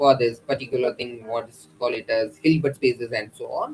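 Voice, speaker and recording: A man with an Indian accent talks at a moderate pace. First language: an Indian language. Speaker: lecturer. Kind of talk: lecture. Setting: YouTube livestream. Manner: halting, frequent uh fillers.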